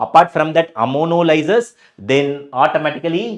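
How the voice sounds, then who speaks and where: Over a quiet background, a man with a Tamil accent speaks at a fairly high pitch with vocal fry. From South India, Tamil Nadu. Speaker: chemistry teacher. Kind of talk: live online lecture. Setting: live stream.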